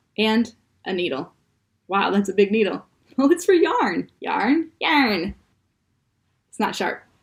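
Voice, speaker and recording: With a Midwestern accent, a woman speaks in a somewhat breathy, fairly high voice, her playful tone marked by very wide pitch swings and long, frequent pauses. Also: fairly slow pace. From US Midwest. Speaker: comedy show host. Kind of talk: tutorial.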